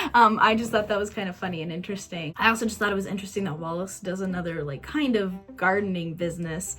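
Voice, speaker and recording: A woman speaks at a medium pitch with an enthusiastic tone and ordinary pitch variation. Music plays in the background. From Kansas, USA. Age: 20s. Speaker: YouTuber, movie reviewer. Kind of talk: casual talk to camera, movie review.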